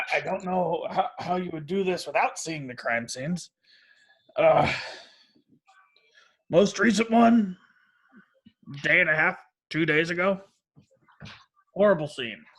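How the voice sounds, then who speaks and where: Using a put-on character voice, a man speaks in a high, raspy tone at a moderate pace. He takes long, frequent pauses, and his pitch varies in an ordinary way. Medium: actual play. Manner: rambling, hesitant.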